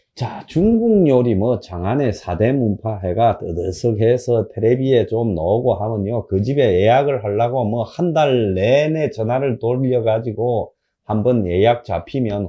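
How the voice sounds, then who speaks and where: Medium-pitched man at a fairly slow pace, with hardly any pauses and ordinary pitch variation. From South Korea, Gyeongsang (Busan area). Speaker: political commentator. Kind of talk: political commentary monologue. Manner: animated, colloquial.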